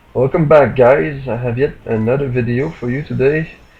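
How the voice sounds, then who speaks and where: A man's medium-pitched voice at a fairly slow pace, with music in the background. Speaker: gaming commentator. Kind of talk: game commentary voice-over. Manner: monotone.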